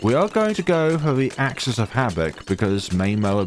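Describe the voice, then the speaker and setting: Over music in the background, a man's pitch swings very widely. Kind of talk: gameplay commentary.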